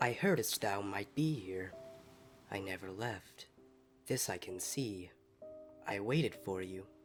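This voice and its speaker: Quietly, over clear background music, a man does a put-on character voice, fairly low in pitch, at a fairly slow pace. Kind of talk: archaic speech. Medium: read story. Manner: melancholy, quietly grieving.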